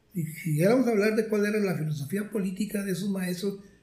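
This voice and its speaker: Audible room echo surrounds a man's dark, mellow tone as he speaks at a very fast pace with ordinary pitch variation. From Mexico, Monterrey area (Nuevo León). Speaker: retired math professor. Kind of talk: interview, life story.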